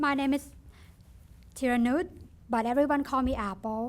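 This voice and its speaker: A woman speaks in a high pitch with a Thai accent. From Thailand. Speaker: nursing student. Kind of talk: ceremony speech. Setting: ribbon cutting ceremony with audience.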